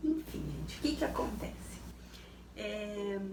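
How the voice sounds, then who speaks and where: Audible room echo and noticeable background noise surround a woman who speaks at a very slow pace. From Rio Grande do Sul, southern Brazil. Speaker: lifestyle YouTuber. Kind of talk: casual personal talk to viewers. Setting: home, dim lamp light. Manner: hesitant, many fillers.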